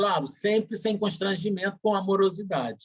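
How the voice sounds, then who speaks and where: This is a man's voice. His pitch is high. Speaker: spiritist center leader. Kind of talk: presentation in an online meeting. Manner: halting.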